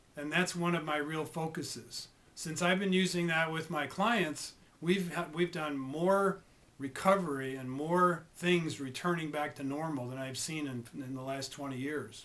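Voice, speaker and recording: In an unremarkable speaking voice, a man talks at a fairly slow pace with a fairly high pitch and ordinary pitch variation. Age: 60s. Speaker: health coach. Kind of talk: informational monologue. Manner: occasional stumbles and repetitions.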